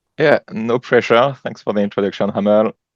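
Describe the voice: The man's pitch is fairly low, with ordinary variation, and his pace is fairly quick. The sound is dry and close, with no echo.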